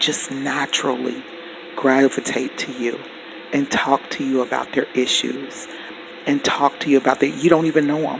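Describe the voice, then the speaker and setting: There is noticeable background noise. A man speaks in a fairly high pitch. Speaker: spiritual teacher. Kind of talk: teaching monologue.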